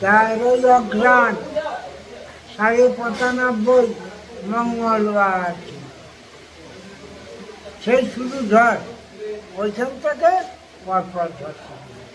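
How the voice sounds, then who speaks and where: A man with an extremely high pitch and big swings in loudness, over noticeable background noise. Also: ordinary pitch variation. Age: 80s+. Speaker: farmer. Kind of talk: interview answer.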